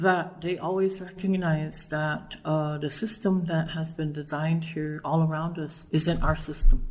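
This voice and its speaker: A woman with a fairly low pitch and a somewhat breathy sound talks at a fairly slow pace in a monotone, flat intonation, with hardly any pauses and audible room echo. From Nebraska. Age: 60s. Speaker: educator and poet. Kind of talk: interview. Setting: at a conference.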